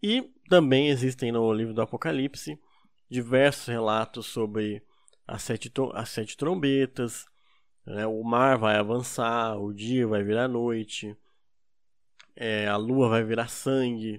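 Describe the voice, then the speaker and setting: There is a very clean recording with a silent background of a man at medium pitch, speaking very slowly with fairly even intonation and long, frequent pauses. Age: 20s. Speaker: podcast co-host. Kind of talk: casual chat.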